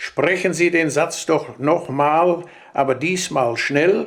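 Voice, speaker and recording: A man talks at a very slow pace. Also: very clean recording, silent background. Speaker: dialect storyteller. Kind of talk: humorous dialect anecdote from an old record.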